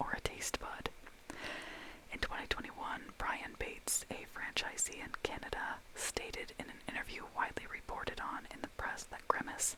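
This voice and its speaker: There is noticeable noise behind this recording. A woman whispers through it at a moderate tempo. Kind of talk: ASMR close-whisper talk to camera. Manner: whispered, soft-spoken.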